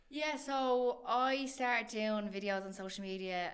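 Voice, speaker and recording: Ordinary pitch variation and a medium pitch come from a woman with a strong Irish accent. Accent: thick Irish. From Ireland. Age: 30s. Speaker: comedian. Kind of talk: casual chat.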